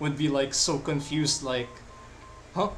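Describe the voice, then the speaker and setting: With a Filipino accent, a man speaks at a fairly high pitch for a man against noticeable background noise. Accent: non-native Filipino accent, noticeable. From Philippines. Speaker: live-streaming digital artist. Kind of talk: casual chat while drawing on stream.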